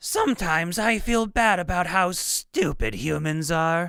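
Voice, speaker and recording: A raspy, put-on character voice, female-sounding and fairly low in pitch for a woman. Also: moderate pace, very clean recording, silent background. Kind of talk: higher-pitched.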